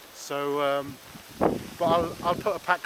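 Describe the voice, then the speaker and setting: Over noticeable background noise, a man with an English accent speaks fairly slowly with fairly even intonation. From England. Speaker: vlogger. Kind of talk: casual vlog narration. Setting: outdoors. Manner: halting.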